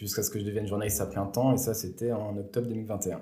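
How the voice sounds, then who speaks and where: A man with a dark, mellow, somewhat breathy tone speaks at a very fast pace, with audible room echo. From France, Bourg-en-Bresse area. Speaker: sports journalist. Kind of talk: interview.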